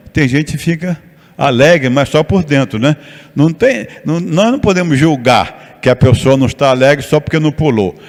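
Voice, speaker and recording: Noticeable background noise is audible. The speaker's intonation is lively. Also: man. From Rio de Janeiro, Brazil. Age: 70s. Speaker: pastor and missionary. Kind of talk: sermon.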